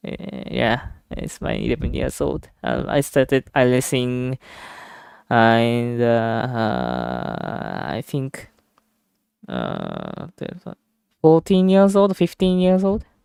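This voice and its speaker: Long, frequent pauses fill this very slow delivery, which has a dry, close sound with no echo. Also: man. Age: 20s. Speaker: sim racing streamer. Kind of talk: casual chat. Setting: live stream. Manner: halting.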